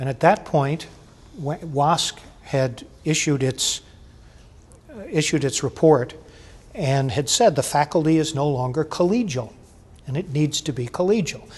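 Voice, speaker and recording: Speaking at a fairly slow pace, a man leaves long, frequent pauses. His fairly high voice has ordinary pitch variation. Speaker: faculty union leader. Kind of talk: oral history interview. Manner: loud.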